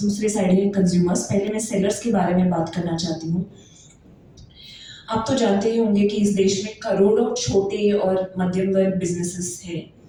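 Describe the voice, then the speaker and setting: Over noticeable background noise, a woman with a non-native accent speaks at a medium pitch. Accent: non-native Hindi. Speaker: company executive. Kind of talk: press conference presentation. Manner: halting, many fillers.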